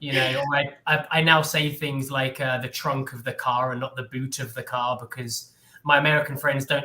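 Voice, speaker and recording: A man with an English accent, medium pitch, a bright, sharp tone, fairly even intonation and a moderate pace. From England. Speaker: English tutor. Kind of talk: casual conversation on a live stream.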